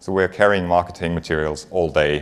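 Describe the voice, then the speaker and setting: Speaking at a fairly quick pace, a man with a German accent keeps a fairly even intonation at a very deep, low pitch. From Germany. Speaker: finance executive. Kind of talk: conference talk. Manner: frequent filler words.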